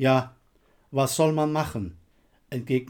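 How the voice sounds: Reading is done here in a natural voice.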